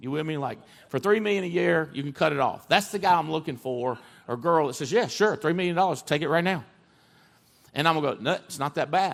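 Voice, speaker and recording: Energetic in tone, a man with a fairly high pitch talks at a very fast pace with ordinary pitch variation on a very clean recording with a silent background. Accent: American. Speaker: CEO and motivational speaker. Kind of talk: high-energy motivational stage talk. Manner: energetic, emphatic, conversational.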